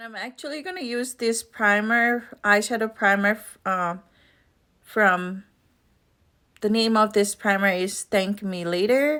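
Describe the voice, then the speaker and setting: Her tone bright and sharp, a woman speaks at a fairly slow pace with big swings in loudness and ordinary pitch variation. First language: not English. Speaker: beauty vlogger. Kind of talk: makeup tutorial vlog. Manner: casual, with hesitations.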